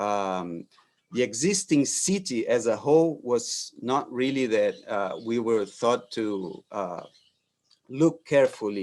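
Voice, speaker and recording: The speaker is a man with a Brazilian Portuguese accent and a medium pitch. He talks at a fairly slow pace. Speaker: architect. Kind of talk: lecture. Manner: halting, many fillers and repetitions.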